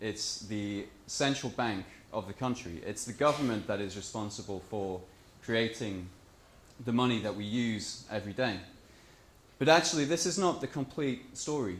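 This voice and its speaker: At a moderate pace, a man speaks in a medium pitch with lively intonation, with audible room echo around him. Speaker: conference speaker on monetary reform. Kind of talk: conference talk.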